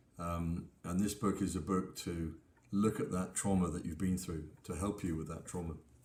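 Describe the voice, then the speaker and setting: The voice has a dark, mellow tone and fairly even intonation at a moderate pace. Audible room echo surrounds it. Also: man. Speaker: pastor and author. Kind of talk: book talk with scripture reading. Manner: halting.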